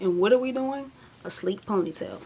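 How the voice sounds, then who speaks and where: Noticeable background noise fills the clip. A woman's voice comes through it. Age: 20s. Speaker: beauty vlogger. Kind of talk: tutorial. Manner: casual.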